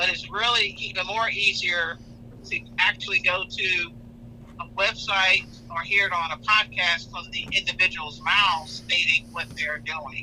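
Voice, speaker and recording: The background noise is noticeable. Over it, a man talks at a moderate pace. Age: 60s. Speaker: newspaper journalist. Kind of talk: radio talk show interview. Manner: halting.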